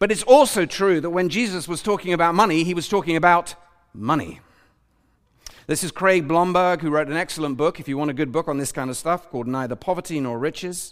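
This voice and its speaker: Very fast and high-pitched, a man talks with ordinary pitch variation. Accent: British. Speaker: preacher. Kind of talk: sermon. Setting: church with congregation.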